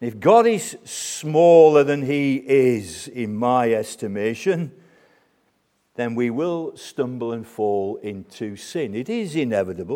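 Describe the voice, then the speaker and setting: Speaking at a very slow pace, a man with a British accent has a dark, mellow tone, medium pitch and lively intonation. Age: 60s. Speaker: preacher. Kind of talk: sermon. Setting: church.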